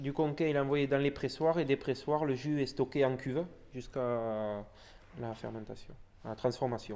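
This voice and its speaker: At a fairly slow pace, a man speaks with a dark, mellow tone and fairly high pitch. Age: young. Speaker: winegrower. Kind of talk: interview.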